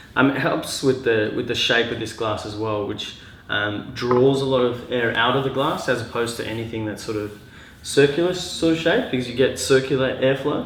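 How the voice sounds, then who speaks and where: With an Australian accent, a man speaks at medium pitch and a moderate pace, his pitch varying in an ordinary way. Noticeable background noise and audible room echo are present. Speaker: glassware designer and mechanical engineer. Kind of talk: casual tutorial. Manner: halting, many fillers.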